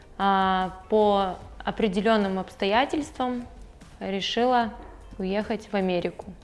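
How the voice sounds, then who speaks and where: Over music in the background, a woman at a medium pitch speaks at a very slow pace with fairly even intonation and long, frequent pauses. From Siberia, Russia (Krasnoyarsk). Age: 20s. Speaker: immigrant telling her story. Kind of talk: interview. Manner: hesitant, with fillers.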